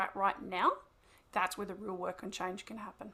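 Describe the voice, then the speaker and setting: A woman talks at a fairly quick pace. Her tone is animated. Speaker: wellbeing coach and therapist. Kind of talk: podcast interview. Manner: fast.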